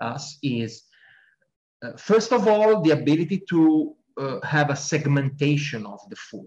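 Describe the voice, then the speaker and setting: In an Italian accent, a man speaks with a fairly high pitch, very wide pitch swings and a somewhat breathy quality. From Italy. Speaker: sports scientist. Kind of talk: interview.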